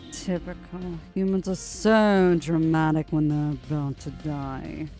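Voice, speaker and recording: A put-on character voice at a middle pitch moves at a fairly slow pace. Clear music plays in the background. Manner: disdainful.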